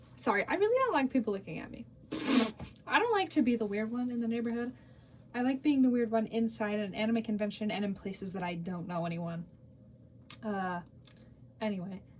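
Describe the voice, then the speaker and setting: A woman's fairly high, somewhat breathy voice at a fairly quick pace, with long, frequent pauses and ordinary pitch variation. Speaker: cosplay content creator. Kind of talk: casual Q&A vlog. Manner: fast; rambling, filler-heavy.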